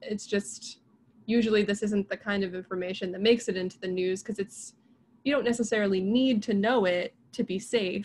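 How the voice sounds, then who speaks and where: A woman speaks at a fairly quick pace with fairly even intonation and a somewhat breathy quality. Light background noise sits behind her. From US, rural Pennsylvania. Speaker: biologist and science communicator; guest. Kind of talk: casual interview. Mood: warm, engaged. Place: home room. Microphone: video call.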